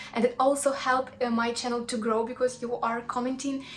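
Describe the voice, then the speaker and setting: A woman talks at a fairly quick clip in a fairly high pitch and a flat, monotone delivery, with noticeable noise behind her. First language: Russian. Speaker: cooking YouTuber. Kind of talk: casual chat to viewers; cooking tutorial. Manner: halting, with fillers.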